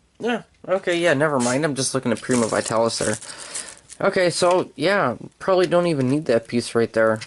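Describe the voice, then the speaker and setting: The man's intonation is lively, and noticeable background noise runs behind him. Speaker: toy reviewer. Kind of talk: toy review tutorial. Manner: halting, many fillers and repeats; casual.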